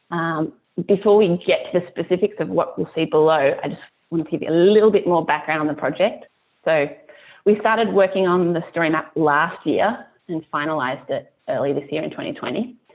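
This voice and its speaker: With a strong Australian accent, a woman speaks at a fairly quick pace. Her pitch is fairly low and varies in an ordinary way. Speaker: climate nonprofit staff presenter. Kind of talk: webinar presentation. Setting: online webinar with screen share. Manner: hesitant, many ums.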